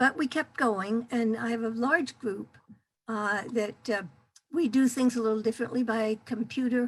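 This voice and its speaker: Somewhat breathy and fairly high in pitch, a woman's voice keeps a fairly even intonation. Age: 80s+. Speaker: activist. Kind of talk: testimony. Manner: halting.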